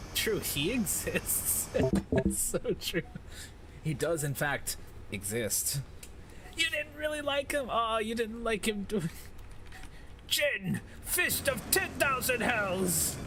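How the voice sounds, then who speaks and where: With an American accent, the speaker goes at a very slow pace, leaving long, frequent pauses. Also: man. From United States. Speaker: streamer. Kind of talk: casual chat. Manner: animated.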